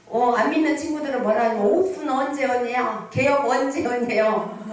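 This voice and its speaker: A woman speaks in an animated tone, her pitch high for a woman. Noticeable background noise and audible room echo surround her. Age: 60s. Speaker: pastor. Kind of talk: sermon. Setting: prayer retreat revival meeting with congregation.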